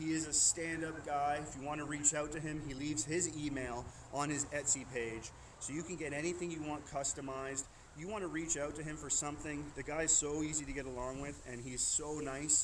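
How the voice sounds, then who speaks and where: Through audible room echo, a man speaks in a monotone, flat intonation at a fairly high pitch. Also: fairly quick pace. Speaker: knife throwing streamer; military member. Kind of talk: live stream wrap-up. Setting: outdoors. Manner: loud.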